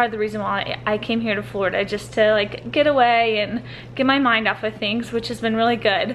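A woman speaks at a fairly quick pace with fairly even intonation over light background noise. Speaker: vlogger. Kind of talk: casual vlog chat. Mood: reflective, slightly emotional. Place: home room. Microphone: phone near.

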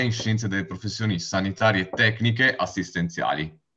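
Here is a plain, everyday voice. A man speaks at a fairly low pitch with ordinary pitch variation. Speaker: university student. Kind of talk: slide presentation. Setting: video call webinar.

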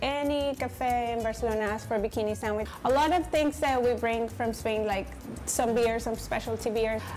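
Faint music plays in the background as a woman speaks at a moderate pace with fairly even intonation. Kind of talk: interview answer. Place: cafe.

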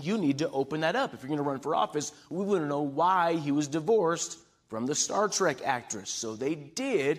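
Lively intonation marks a man's speech at a moderate pace. Nothing much stirs behind him. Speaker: preacher. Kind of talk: sermon. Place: church. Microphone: podium.

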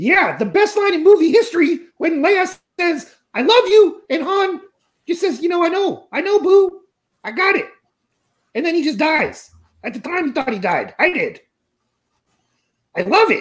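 A cartoonish character voice at an extremely high pitch, moderate pace and long, frequent pauses. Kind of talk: crude comic puppet banter. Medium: puppet show. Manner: loud, brash, needy.

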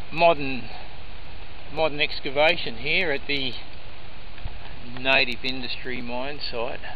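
A man speaks at a fairly slow pace in a dry sound with no echo, with light background noise. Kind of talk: casual walking commentary. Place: forest. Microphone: phone near.

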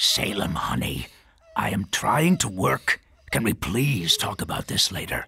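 This man's voice is raspy and fairly low-pitched. He speaks at a fairly slow pace. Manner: distracted, busy.

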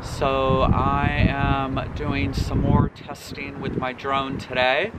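Loud background noise surrounds a man's voice in a dry sound with no echo. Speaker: RV travel vlogger. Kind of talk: casual vlog chat. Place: open country. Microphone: camera far.

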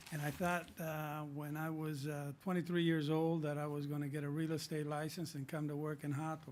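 A man with an American accent speaks at a fairly high pitch in a flat monotone, hardly pausing, with audible room echo. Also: moderate pace. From Southern California. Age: 60s. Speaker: city council member. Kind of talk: council meeting remarks. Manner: halting.

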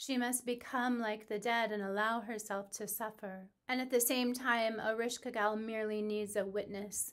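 The reading voice sounds natural, and its intonation is fairly even.

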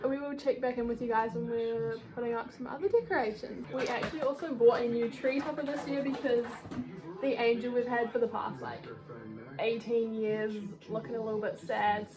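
Clear music plays behind a woman whose pitch varies in an ordinary way. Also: moderate pace. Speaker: vlogger. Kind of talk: casual vlog chat. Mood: cheerful, laughing. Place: home room. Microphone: phone near.

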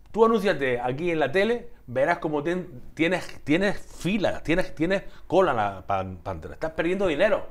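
A man with a high voice and lively intonation talks at a moderate pace. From Andalusia. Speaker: TV talk show host. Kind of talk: casual interview. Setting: TV studio. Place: studio. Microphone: lapel.

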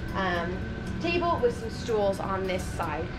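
A woman talks at a moderate pace with clear music playing in the background. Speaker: RV renovation vlogger. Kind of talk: casual vlog chat. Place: home room. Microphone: phone near.

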